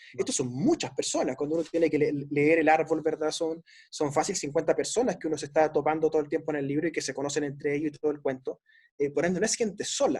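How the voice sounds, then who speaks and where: A man speaks very fast at a fairly high pitch. His intonation stays fairly even. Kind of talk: book discussion interview.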